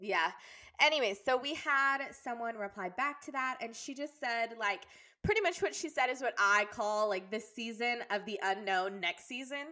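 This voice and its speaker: With a Texan accent, a woman speaks in a bright, sharp tone at a fairly high pitch, with lively intonation and a moderate pace, on a very clean recording with a silent background. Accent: Texan American. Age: 20s. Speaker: podcast co-host, elementary school teacher. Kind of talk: casual chat.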